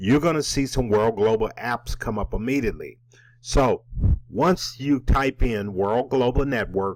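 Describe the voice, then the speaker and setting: Ordinary pitch variation at a fairly slow pace. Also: man, medium pitch for a man. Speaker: network marketing presenter. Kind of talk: tutorial.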